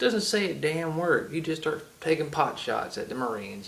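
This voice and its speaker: Speaking at a fairly quick pace, a man has a strong Southern US accent and lively intonation. There is audible room echo. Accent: heavy Southern US. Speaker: gaming video creator. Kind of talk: solo rant to camera. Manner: halting, many fillers.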